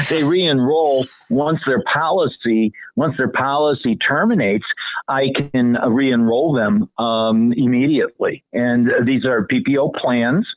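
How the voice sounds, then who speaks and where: At a fairly slow pace, a man with medium pitch and an ordinary speaking voice keeps his loudness very even. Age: 60s. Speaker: health insurance agent. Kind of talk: radio interview.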